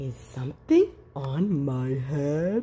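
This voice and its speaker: A put-on character voice from a female-sounding speaker, very deep and low in pitch. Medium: read story. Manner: gasping, alarmed.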